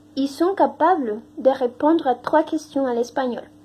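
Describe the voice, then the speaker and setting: Against noticeable background noise, a woman with a high voice speaks at a very slow pace. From Mexico. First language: Spanish (speaking French). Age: 20s. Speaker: language teaching assistant. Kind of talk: testimony. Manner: halting, many hesitations.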